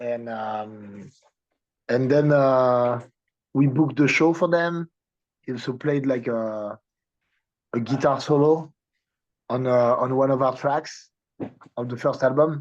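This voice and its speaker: A man speaks at a very slow pace with a French accent. His pitch sits in the medium range. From France, Paris. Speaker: punk band musician. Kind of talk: interview. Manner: halting.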